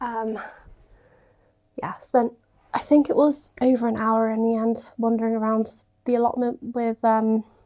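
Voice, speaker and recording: In a British accent, a woman with a dark, mellow tone speaks at a fairly slow pace in a monotone, flat way, leaving long, frequent pauses. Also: fairly high pitch for a woman. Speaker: home renovation vlogger. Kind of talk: casual vlog chat.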